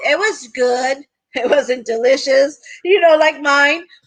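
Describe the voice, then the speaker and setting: With an American accent, a woman speaks at a high pitch in a raised, projected voice. Her tone is bright and sharp, her pace moderate, her pitch variation ordinary. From Texas, Eagle Pass (border town). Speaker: retired teacher, direct sales team member. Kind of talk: casual chat.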